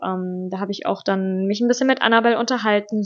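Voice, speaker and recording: With fairly even intonation and a medium pitch, a woman talks at a fairly quick pace in an unremarkable speaking voice. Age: 20s. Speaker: podcast co-host, teacher-training student. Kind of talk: casual chat.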